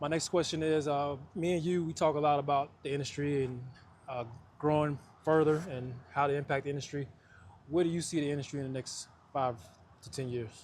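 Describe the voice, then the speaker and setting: A man with a fairly high pitch talks at a fairly quick pace. His intonation stays fairly even, broken by long, frequent pauses. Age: 30s. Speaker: coatings inspector and channel host. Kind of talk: interview.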